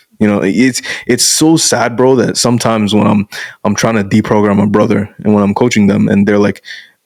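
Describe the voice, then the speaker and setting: At a fairly quick pace, a man with an unremarkable speaking voice talks in a fairly low pitch with fairly even intonation. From Canada (born in Bangladesh, moved at five). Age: 20s. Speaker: masculinity coach. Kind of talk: casual interview chat.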